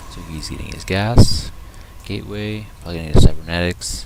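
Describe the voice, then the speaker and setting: Quiet and very deep, low-pitched, a man talks at a moderate pace with ordinary pitch variation amid noticeable background noise. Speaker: game caster. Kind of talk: live commentary. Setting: at home, others sleeping. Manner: casual.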